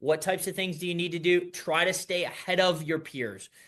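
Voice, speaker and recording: Against a quiet background, a man talks at a fairly quick pace. His pitch is high. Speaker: business advisor and entrepreneur. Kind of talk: business presentation. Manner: fast.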